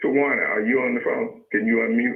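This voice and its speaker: Speaking with a Mississippi accent, a man delivers his words. His pace is fairly slow. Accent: US Southern, Mississippi. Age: 60s. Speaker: radio host. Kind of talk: radio talk show.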